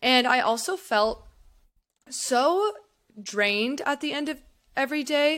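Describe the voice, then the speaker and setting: Speaking at a fairly slow pace with long, frequent pauses, a woman uses a high pitch and lively intonation. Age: 20s. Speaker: e-commerce entrepreneur. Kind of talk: casual interview.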